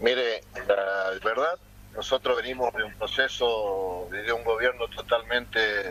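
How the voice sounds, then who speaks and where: The man speaks very slowly, and noticeable background noise can be heard. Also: medium pitch for a man, ordinary pitch variation. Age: 60s. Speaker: mayor and political candidate. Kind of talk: interview. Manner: hesitant, many fillers.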